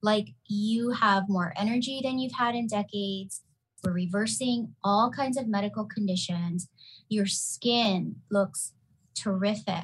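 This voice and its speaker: Against a quiet background, a woman speaks at a fairly slow pace in a somewhat breathy voice. Her pitch sits in the middle range with ordinary variation. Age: 40s. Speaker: pharmacist and keto health practitioner. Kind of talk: casual chat.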